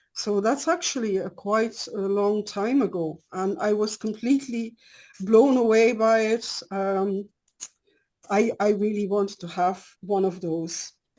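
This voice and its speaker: A woman with a non-native accent speaks fairly slowly at medium pitch, her tone dark and mellow and her pitch variation ordinary. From Belgium. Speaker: scientist and dowsing lecturer. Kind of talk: lecture. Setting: video call. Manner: partly reading from prepared cards; hesitant with fillers.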